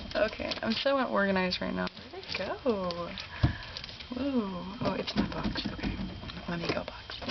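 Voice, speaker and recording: There is noticeable background noise as a woman speaks at a medium pitch and a moderate pace. Her pitch varies in an ordinary way, and she takes long, frequent pauses. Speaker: beauty and ASMR vlogger. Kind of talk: casual talk to camera, makeup tutorial. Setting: studio, close mic, ASMR style.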